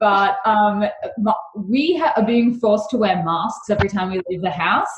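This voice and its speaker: A woman with an Australian accent speaks at a moderate pace, her fairly high pitch moving with ordinary variation. Audible room echo surrounds her voice. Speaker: beauty company founder. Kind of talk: podcast interview. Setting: remote call.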